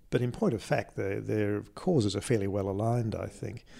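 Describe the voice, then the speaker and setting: Speaking at a moderate pace, a man with an Australian accent has a dark, mellow tone, fairly low pitch and ordinary pitch variation. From Australia, Adelaide. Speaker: interviewee, scientist. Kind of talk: interview. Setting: in a conservatory at home. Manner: halting, many repeated words.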